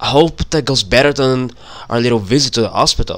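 A man's voice of medium pitch with a fairly bright tone.

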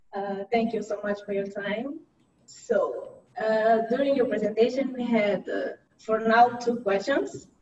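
Over noticeable background noise, a woman with a fairly high pitch talks at a fairly slow pace with ordinary pitch variation. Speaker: webinar moderator. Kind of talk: webinar moderating. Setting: video call. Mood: polite, calm. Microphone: video call.

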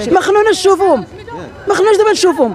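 The speech comes at a very fast pace with music in the background. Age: 60s. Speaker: local resident. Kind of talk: street interview.

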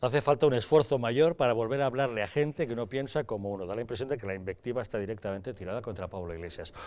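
The speaker goes at a very fast pace with hardly any pauses and ordinary pitch variation. Loudness swings widely throughout. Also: man. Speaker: TV news presenter. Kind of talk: news reading. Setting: studio. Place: studio. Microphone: lapel.

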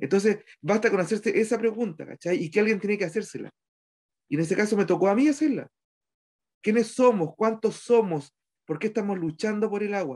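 Against a quiet background, a man with a Chilean accent talks fairly quickly in a high voice with ordinary pitch variation. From Chile, Petorca (Valparaíso region); Valparaíso region, Chile. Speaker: community leader and local councillor. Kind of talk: interview testimony. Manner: halting, many fillers and repetitions. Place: home room. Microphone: video call.

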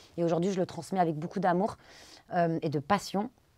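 Fairly quick speech against a quiet background. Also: woman. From France, of Pakistani descent. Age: 30s. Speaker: Bollywood dance teacher and social media creator; Bollywood dance teacher, social media creator. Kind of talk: interview testimony. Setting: studio. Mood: earnest, personal story. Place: studio.

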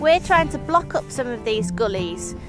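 A woman's voice comes through dry, with no echo. Music plays behind her. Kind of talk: explanatory interview to camera. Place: open country. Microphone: lapel.

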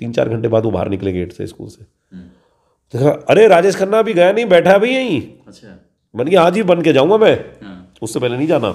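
In a quiet background, a man talks at a moderate pace with a dark, mellow tone, vocal fry and very wide pitch swings. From western Uttar Pradesh, Dadri area village; Uttar Pradesh, India. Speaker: actor. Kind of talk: interview. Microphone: handheld.

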